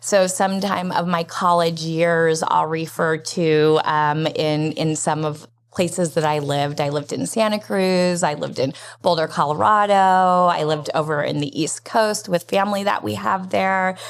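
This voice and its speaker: On a very clean recording with a silent background, a woman speaks in an unremarkable speaking voice with an American accent, fairly low in pitch with ordinary pitch variation, at a moderate pace with hardly any pauses. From US West, Las Vegas. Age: 50s. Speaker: nonprofit program director. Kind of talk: interview.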